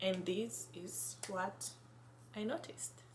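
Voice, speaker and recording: In a Kenyan accent, a woman speaks at a medium pitch and a very slow pace, with audible room echo. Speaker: vlogger. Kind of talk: casual vlog. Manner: halting, self-correcting.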